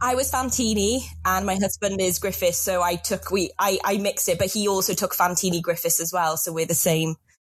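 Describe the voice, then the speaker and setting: Somewhat breathy, a woman with a Welsh accent talks at a fairly quick pace, her medium pitch showing ordinary variation. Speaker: award finalist, interview guest.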